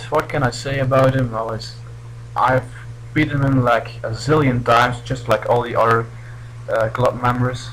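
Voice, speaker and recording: At a moderate pace, a man with a non-native accent speaks in a medium-pitched voice. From Belgium. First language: not English. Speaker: gaming commentator. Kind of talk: gameplay commentary. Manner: halting.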